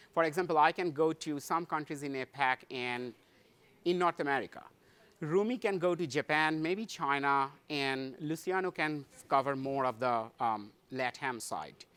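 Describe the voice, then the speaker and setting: Speaking with an Indian accent at a moderate pace, a man has a fairly high pitch and ordinary pitch variation. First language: Hindi. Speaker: tech conference speaker, solution architect. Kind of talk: conference talk. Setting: stage with audience. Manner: halting, many fillers.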